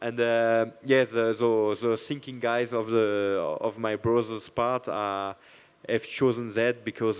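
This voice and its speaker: With a French accent, a man at medium pitch speaks fairly slowly in a monotone, flat intonation. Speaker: MMA fighter. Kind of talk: post-fight press interview. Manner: halting.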